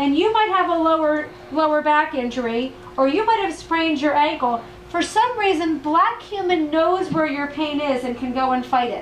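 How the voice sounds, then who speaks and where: The intonation is lively. Audible room echo and noticeable background noise come through. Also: woman, high pitch for a woman. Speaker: health practitioner and product distributor. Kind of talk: testimony and sales presentation. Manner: fast; enthusiastic.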